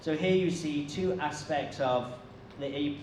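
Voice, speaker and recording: A man speaks with a British accent and ordinary pitch variation. There is audible room echo along with noticeable background noise. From UK. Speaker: social enterprise foundation director. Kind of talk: conference keynote talk. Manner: slow; hesitant with fillers and repeats.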